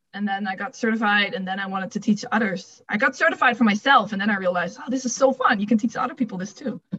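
A woman with a Dutch accent and fairly high pitch talks at a very fast pace with hardly any pauses and ordinary pitch variation. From Netherlands. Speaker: fitness coach. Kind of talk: casual interview chat.

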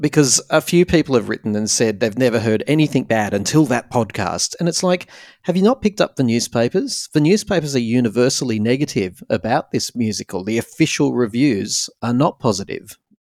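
Heard in a dry, close sound with no echo, a man with an unremarkable speaking voice and medium pitch talks at a fairly quick pace with lively intonation and hardly any pauses. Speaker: podcast host. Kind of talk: casual interview.

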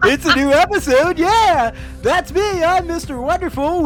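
Over clear background music, a put-on character voice at an extremely high pitch moves along at a moderate pace. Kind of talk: radio voice. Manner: over-the-top, enthusiastic.

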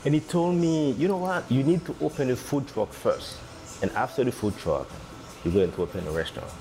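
Music plays behind a man who talks fairly quickly at a fairly high pitch, his voice moving in very wide pitch swings. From Haiti. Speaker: restaurant owner. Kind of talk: interview. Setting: on location in restaurant. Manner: halting.

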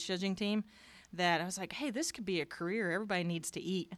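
In a very clean recording with a silent background, a woman with a plain, everyday voice speaks at a medium pitch with ordinary pitch variation. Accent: American. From southern Indiana, near Louisville. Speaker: show lamb breeder. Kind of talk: casual interview.

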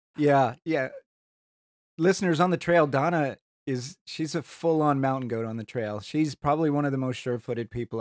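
A man speaks in a plain, everyday voice at a fairly high pitch and a moderate pace. His intonation is lively and the sound is dry and close with no echo. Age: middle-aged. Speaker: podcast co-host, hiker. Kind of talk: casual chat.

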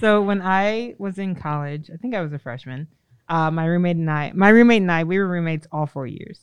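A woman uses an ordinary speaking voice at a fairly low pitch, with ordinary pitch variation and a fairly quick pace. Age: 30s. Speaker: podcast co-host. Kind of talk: casual chat.

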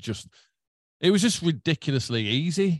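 Dry and close, the sound carries no echo over a quiet background. Pitch shifts in an ordinary way. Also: man. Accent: Yorkshire. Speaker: guitarist and songwriter. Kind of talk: casual chat. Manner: animated.

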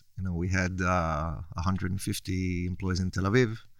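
With an Israeli accent, a man speaks in a very deep, low voice at a fairly slow pace. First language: Hebrew. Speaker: entrepreneur. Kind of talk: interview. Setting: studio.

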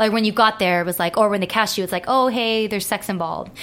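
Noticeable noise sits in the background. Over it, a woman talks with ordinary pitch variation. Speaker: adult film performer. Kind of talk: casual chat. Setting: studio.

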